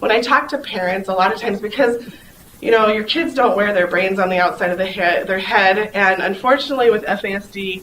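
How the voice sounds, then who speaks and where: In a recording with audible room echo and noticeable background noise, a woman talks at a medium pitch with ordinary pitch variation. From South Dakota, near Pine Ridge. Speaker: conference speaker, foster mom and nurse. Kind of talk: conference talk. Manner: fast; animated.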